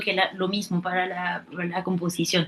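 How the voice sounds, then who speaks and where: Speaking with a non-native accent, a woman keeps a moderate pace. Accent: foreign accent noted in Spanish. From France. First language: French (speaking Spanish). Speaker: prospective doctoral student, musician. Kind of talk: Q&A question. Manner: halting, repeats words.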